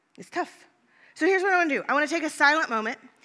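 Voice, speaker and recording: A woman with an American accent speaks in a bright, sharp tone with lively intonation. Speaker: pastor. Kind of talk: sermon; fervent prayer. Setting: church. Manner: hushed, earnest.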